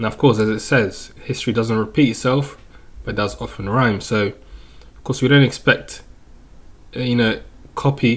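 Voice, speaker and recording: This man has a medium-pitched, somewhat breathy voice, speaking at a moderate pace with fairly even intonation. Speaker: crypto chart analyst youtuber. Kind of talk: market analysis commentary. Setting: home recording, webcam off. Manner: casual.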